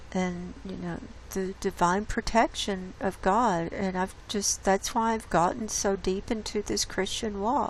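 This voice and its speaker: A woman talks at a fairly slow pace with hardly any pauses. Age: 60s. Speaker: YouTube host reading a book excerpt. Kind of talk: casual commentary. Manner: halting, with many fillers.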